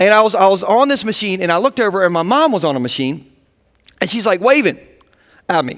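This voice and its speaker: With an American accent, a man speaks in an animated tone, high in pitch and with very wide pitch swings. His pace is very fast, broken by long, frequent pauses. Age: 30s. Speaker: pastor. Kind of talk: sermon.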